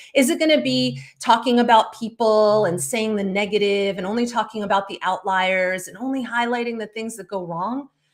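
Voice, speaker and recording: On a very clean recording with a silent background, a woman speaks loudly at a moderate pace, her fairly high voice passionate in tone and lively in intonation. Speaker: speakers bureau owner and live show host. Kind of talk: solo livestream talk. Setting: live stream.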